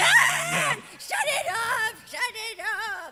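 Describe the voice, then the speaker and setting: Shouting in a put-on character voice at an extremely high pitch, a woman is heard over light background noise. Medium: audio drama.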